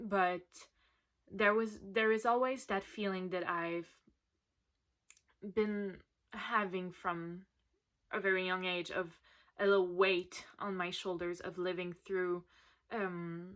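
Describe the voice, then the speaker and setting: A woman with a Quebec accent at a very slow pace, monotone and flat, with long, frequent pauses, in a very clean recording with a silent background. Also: medium pitch for a woman. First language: French. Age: 20s. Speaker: patient sharing her story. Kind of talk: recorded personal testimony.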